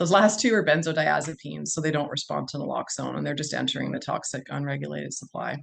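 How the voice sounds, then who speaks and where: A woman with a Canadian accent speaks at a very fast pace with hardly any pauses. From Ontario, Canada. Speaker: physician. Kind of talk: webinar presentation. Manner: loud.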